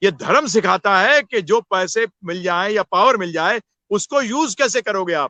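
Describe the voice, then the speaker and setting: Against a quiet background, a man with a high pitch uses a raised, projected voice with a bright, sharp tone and lively intonation. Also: dry, close sound with no echo. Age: 60s. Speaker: spiritual teacher. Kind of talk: interview on spirituality. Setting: live video session.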